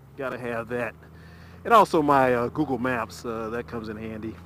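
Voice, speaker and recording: Dry sound with no echo from a male speaker. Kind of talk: casual vlog chat. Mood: relaxed, satisfied. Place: motorbike. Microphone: helmet.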